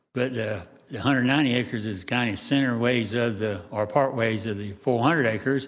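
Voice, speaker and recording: Audible room echo surrounds a man of medium pitch who talks fairly quickly in a Southern US accent, his intonation fairly even. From Jacksonville, Florida. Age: 80s+. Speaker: resident speaking at public hearing. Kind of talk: public comment. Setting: council meeting. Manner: halting.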